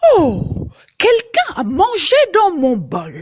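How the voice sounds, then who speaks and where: A woman puts on a character voice with a high pitch, drawing out her words at a very slow pace. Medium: read story.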